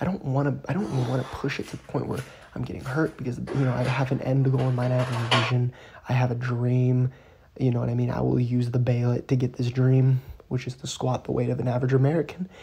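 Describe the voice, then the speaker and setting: The voice is soft-spoken. It runs at a very fast pace. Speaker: fitness vlogger. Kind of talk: casual training vlog. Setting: at home at night, family in house. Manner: quiet, talking softly.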